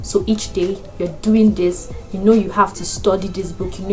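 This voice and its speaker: With music in the background, a woman talks fairly quickly. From Nigeria. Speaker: lifestyle and wellness YouTuber. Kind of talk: casual talk to camera.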